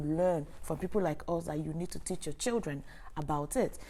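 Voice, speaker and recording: A woman's dark, mellow voice in a Nigerian accent, with lively intonation at a moderate pace. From Nigeria, Imo State (Igbo). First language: Igbo. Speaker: sex educator and online creator. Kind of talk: live Q&A stream. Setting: livestream on camera.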